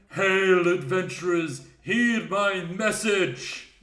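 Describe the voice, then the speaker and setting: A man does a put-on character voice, high in pitch, at a very slow pace. There is a slight echo. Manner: loud, formal, archaic.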